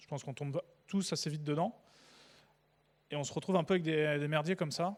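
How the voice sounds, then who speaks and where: A man's fairly quick speech, with ordinary pitch variation, is captured in a very clean recording against a silent background. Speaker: conference speaker, developer evangelist. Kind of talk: conference talk. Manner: casual, hesitant with fillers; fast.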